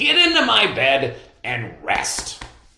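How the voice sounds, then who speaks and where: A man performs a put-on character voice. There is audible echo on the recording. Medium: read story. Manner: earnest, fretful.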